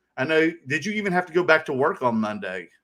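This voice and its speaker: Here a man with a Southern US accent talks in an animated tone. His fairly high voice has a bright, sharp tone. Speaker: card collecting show co-host. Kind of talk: casual chat.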